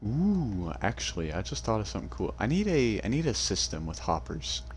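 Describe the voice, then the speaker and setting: Vocal fry runs through a man's voice as he speaks at a moderate pace with very wide pitch swings. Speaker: gaming youtuber. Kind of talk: casual let's-play commentary. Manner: halting, many fillers.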